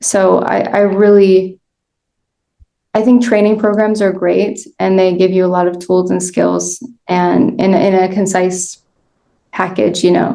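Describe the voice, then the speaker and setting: A woman's medium-pitched voice with a dark, mellow tone, monotone, flat intonation, very even loudness and a fairly slow pace with long, frequent pauses. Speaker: end of life doula. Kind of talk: interview.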